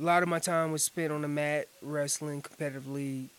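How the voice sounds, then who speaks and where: A man's fairly high voice in an American accent, moderate in pace, with monotone, flat intonation. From North Carolina, Orange County. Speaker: world champion elk caller and hunter. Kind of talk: casual interview chat. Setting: outdoor gazebo.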